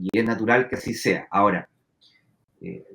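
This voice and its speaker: A man speaks with a Chilean accent. His pace is fairly slow. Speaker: finance professor. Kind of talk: interview.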